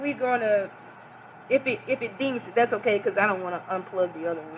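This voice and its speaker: A woman uses a raised, projected voice with very wide pitch swings. Noticeable background noise can be heard. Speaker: religious lecturer. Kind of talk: lecture. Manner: loud.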